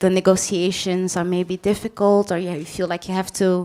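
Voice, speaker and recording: With a Dutch accent, a woman speaks at a medium pitch. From Belgium. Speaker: panel moderator. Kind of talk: panel discussion. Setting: stage with audience.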